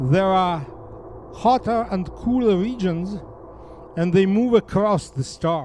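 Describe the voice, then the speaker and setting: A high-pitched man with a Russian accent, very slow pace, long and frequent pauses, and ordinary pitch variation. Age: 70s. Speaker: astronomy professor. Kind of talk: lecture. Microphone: no mic.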